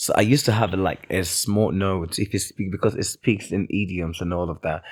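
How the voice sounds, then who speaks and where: Here a man talks with a British accent at a fairly low pitch. His pace is moderate. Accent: acquired British-style. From Nigeria, Oyo town. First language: Yoruba. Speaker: multitalented entertainer. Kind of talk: podcast interview.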